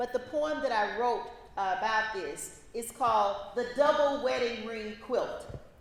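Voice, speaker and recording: Amid noticeable background noise and audible room echo, a woman with a Louisiana accent speaks at a fairly slow pace in a high voice with ordinary pitch variation. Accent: Southern US, Louisiana. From US South, northern Louisiana (Shreveport). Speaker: law professor. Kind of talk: conference talk. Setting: in person event with audience.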